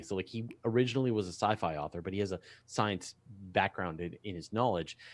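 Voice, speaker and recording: A man at a moderate pace on a very clean recording with a silent background. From Canada. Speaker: astronomy publisher and science YouTuber. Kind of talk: casual chat on a livestream. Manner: halting, many repeated words.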